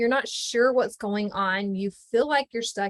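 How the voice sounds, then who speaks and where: A woman speaks at a moderate pace with ordinary pitch variation, in a dry, close sound with no echo. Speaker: life coach. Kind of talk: online workshop presentation. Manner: animated.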